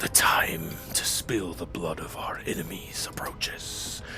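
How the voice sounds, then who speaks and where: Over loud background music, a man puts on a character voice and speaks at a fairly slow pace. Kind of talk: grand, ominous. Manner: menacing, commanding.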